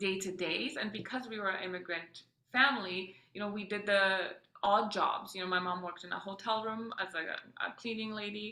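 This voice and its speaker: There is audible room echo as a woman speaks with a Polish accent. Her pace is fairly quick and her intonation fairly even. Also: medium pitch for a woman. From Poland, then Austria and Edmonton, Canada. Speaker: mother and entrepreneur. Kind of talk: podcast interview, personal story. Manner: many fillers and self-corrections.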